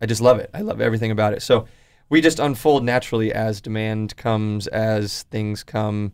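Speaking with a West Coast accent, a man keeps a medium pitch and fairly even intonation at a fairly quick pace, on a very clean recording with a silent background. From Oregon, Portland area. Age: 20s. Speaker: clothing brand founder. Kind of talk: casual interview. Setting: radio studio.

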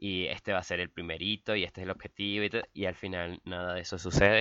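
A man's fairly low voice holds a monotone, flat intonation throughout. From Venezuela. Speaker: podcast co-host, blogger. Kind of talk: casual chat.

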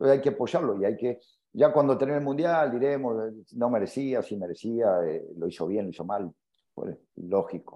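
Very wide pitch swings run through a man's moderately paced speech. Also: medium pitch for a man. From Argentina. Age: 50s. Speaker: football coach. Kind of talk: interview. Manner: halting, many fillers and repetitions.

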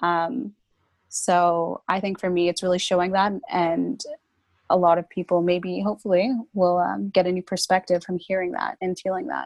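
Speaking in a Canadian accent, a woman has an ordinary speaking voice at a medium pitch with ordinary pitch variation and a moderate pace. The sound is dry and close with no echo, over a quiet background. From Brampton, Ontario, Canada. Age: 20s. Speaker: guest, youth organization worker. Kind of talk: casual chat. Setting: video call.

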